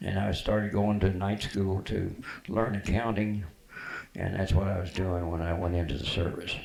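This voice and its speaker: In an American accent, a man with a fairly low pitch speaks at a moderate pace, somewhat breathy and monotone, with flat intonation. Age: 80s+. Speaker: war veteran. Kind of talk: interview answer.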